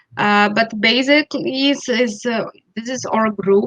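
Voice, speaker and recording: Speaking at a fairly slow pace with a Portuguese accent, a woman uses a fairly high pitch, ordinary pitch variation and a bright, sharp tone, recorded with a dry, close sound and no echo. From Brazil. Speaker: school network representative. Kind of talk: informational webinar chat. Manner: halting.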